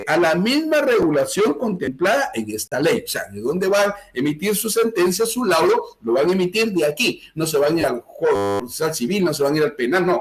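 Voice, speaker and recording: This man speaks at a high pitch with very wide pitch swings. He hardly pauses at all. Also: moderate pace. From Guatemala, Chimaltenango. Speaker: law lecturer. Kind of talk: lecture. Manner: animated.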